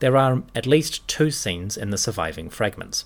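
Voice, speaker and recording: A man speaks in a plain, everyday voice at a fairly slow pace. His intonation is lively. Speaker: podcast host. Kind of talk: history documentary narration. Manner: measured, storytelling; clear, formal.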